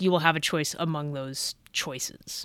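An ordinary speaking voice moves at a moderate pace with ordinary pitch variation, recorded very cleanly over a silent background. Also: woman. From California, Bay Area. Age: 30s. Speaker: Navy veteran and comedian, podcast host. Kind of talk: solo podcast monologue. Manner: casual, conversational.

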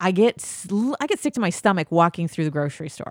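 An animated voice with an American accent comes through a very clean recording with a silent background and a dry, close sound with no echo. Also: woman. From US Midwest. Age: 40s. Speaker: podcast co-host. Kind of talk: casual chat.

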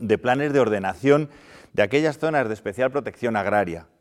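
Moderately paced, a man talks at medium pitch with lively intonation in a plain, everyday voice. The recording is very clean, with a silent background. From Spain, León province. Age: 50s. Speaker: regional politician. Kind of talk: panel debate. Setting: theatre stage with audience. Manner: formal.

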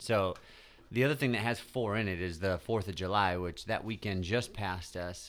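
This man has a plain, everyday voice with a fairly low pitch and talks at a moderate pace. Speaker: podcast host. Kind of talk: casual chat.

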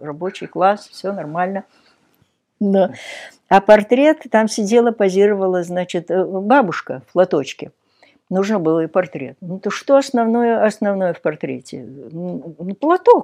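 A woman with a dark, mellow tone and medium pitch speaks at a fairly slow pace, with long, frequent pauses. Her intonation is lively, her loudness swings widely, and the background is quiet. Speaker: sculptor. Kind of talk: casual interview.

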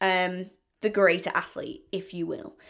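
A woman's medium-pitched voice with a British accent on a very clean recording with a silent background. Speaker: podcaster. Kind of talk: solo casual monologue intro. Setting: home, bathroom floor. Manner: fast talker; rambling, casual.

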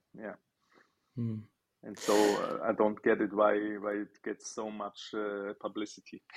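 A man's fairly low, monotone voice at a fairly slow pace, with long, frequent pauses, big swings in loudness, and a dry, close sound with no echo. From Switzerland, near Basel. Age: 30s. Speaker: chef. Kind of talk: interview. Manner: halting.

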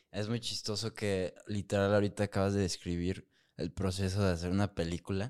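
With a Mexican accent, a man speaks at a fairly quick pace in a fairly low pitch and monotone, flat intonation. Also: very clean recording, silent background. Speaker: podcast host. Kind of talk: casual chat.

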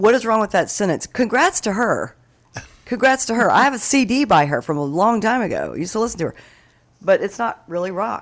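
It's a plain, everyday voice, a woman's, fairly high in pitch with lively intonation and a fairly quick pace. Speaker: radio co-host. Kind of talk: casual chat.

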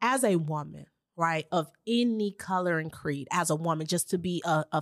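A woman with an American accent, animated in tone, fairly low in pitch, with ordinary pitch variation, very even loudness, a moderate pace, and a dry, close sound with no echo in a very clean recording against a silent background. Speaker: podcast host. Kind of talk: casual interview chat.

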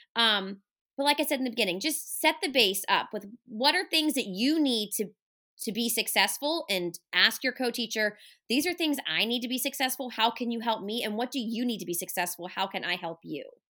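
A woman speaks loud and animated at a moderate pace, her tone bright and sharp and her pitch fairly high with lively intonation. The recording is very clean, with a silent background. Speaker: special education resource teacher. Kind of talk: casual interview. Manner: loud, animated.

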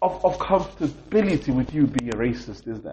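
An angry man speaks with very wide pitch swings. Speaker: podcast host. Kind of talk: angry rant about racism, passionate monologue. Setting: recording in a hotel room while travelling. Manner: angry, frustrated, emphatic, repeating for emphasis; disappointed, sincere, impassioned.

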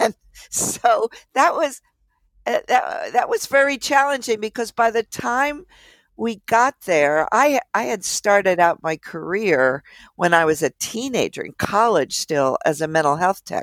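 At a fairly slow pace, a woman with an American accent and vocal fry speaks at a fairly high pitch with very wide pitch swings, in a very clean recording with a silent background and a dry, close sound with no echo. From Philadelphia suburbs, US. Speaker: psychiatrist and professor. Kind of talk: interview.

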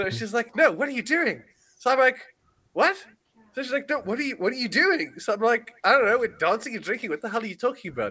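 Raised and projected, a man's voice comes at an extremely high pitch and very fast pace, with lively intonation and a bright, sharp tone. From South Africa. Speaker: podcast host. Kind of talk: casual chat.

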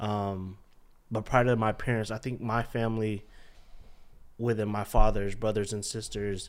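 This man's voice is fairly low in pitch. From Charlotte, North Carolina (born in Philippines). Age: 20s. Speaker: restaurant co-owner and bank project manager. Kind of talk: casual chat interview.

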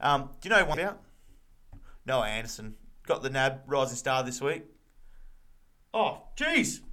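Lively intonation and a bright, sharp tone mark this man's medium-pitched voice. He keeps a moderate pace with long, frequent pauses. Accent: Australian. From Victoria, Australia. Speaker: footy podcast co-host. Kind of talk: casual chat.

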